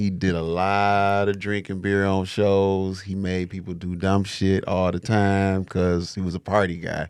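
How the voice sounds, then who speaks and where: A man speaks with a very deep, low voice at a fairly slow pace. His intonation is monotone and flat. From Detroit, US Midwest. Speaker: rapper and studio owner. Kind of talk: casual interview chat.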